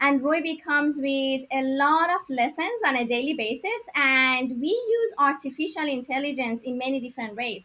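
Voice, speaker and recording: A woman's raised, projected voice with a Persian accent, bright and sharp in tone, high-pitched, at a moderate pace. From Iran, Tehran. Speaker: tech startup founder. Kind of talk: interview.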